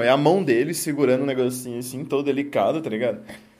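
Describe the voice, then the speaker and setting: Amid audible room echo, a man with a fairly high pitch speaks at a very fast pace with lively intonation. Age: 20s. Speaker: podcast host. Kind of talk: casual chat.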